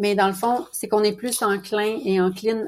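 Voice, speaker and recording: A woman speaks at a fairly slow pace. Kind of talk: interview conversation.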